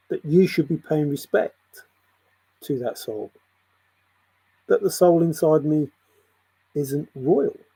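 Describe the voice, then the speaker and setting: Very slow speech with an English accent, broken by long, frequent pauses. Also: man. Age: 60s. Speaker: spiritual video blogger. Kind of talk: spiritual monologue.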